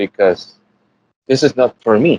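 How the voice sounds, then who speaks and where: A man with a Puerto Rican accent speaks at a medium pitch with ordinary pitch variation. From Puerto Rico. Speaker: animation artist. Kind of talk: interview. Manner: halting, many repetitions.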